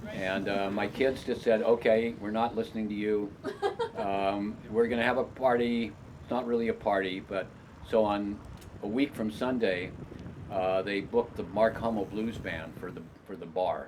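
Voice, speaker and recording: A man with a fairly low pitch talks at a moderate pace with fairly even intonation. His loudness swings widely, and there is noticeable background noise. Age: 80s+. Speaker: writer, editor, photographer, publisher. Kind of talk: documentary interview, casual reminiscing. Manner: halting, many fillers and restarts.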